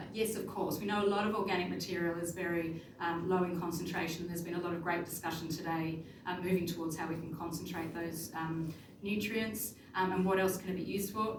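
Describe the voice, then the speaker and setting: Noticeable background noise and audible room echo fill this recording. A woman speaks over it at a medium pitch. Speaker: conference presenter, researcher. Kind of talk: conference presentation. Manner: fast.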